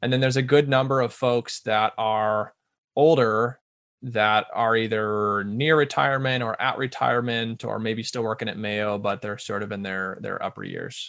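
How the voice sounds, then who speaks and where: This man speaks with a US Midwestern accent and fairly even intonation. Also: medium pitch for a man, moderate pace. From Omaha, Nebraska. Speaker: bike shop owner. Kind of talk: interview.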